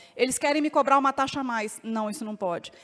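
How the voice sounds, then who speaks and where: A woman speaks with a Minas Gerais accent. Her pitch is high. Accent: mineiro. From Minas Gerais, Brazil. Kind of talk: panel talk.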